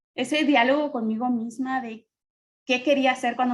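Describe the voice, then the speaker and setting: A woman talks at a moderate pace in a high pitch. Her intonation stays fairly even. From Mexico. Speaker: panelist. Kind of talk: testimony.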